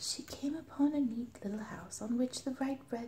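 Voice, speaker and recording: A quiet voice with a soothing tone. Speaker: ASMR storyteller. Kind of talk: bedtime story reading. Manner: quiet, soothing.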